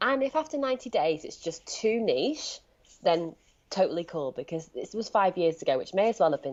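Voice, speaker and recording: The voice has a Leeds accent and lively intonation. The pace is fairly quick. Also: woman. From northern England, Leeds. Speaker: life coach. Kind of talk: podcast interview.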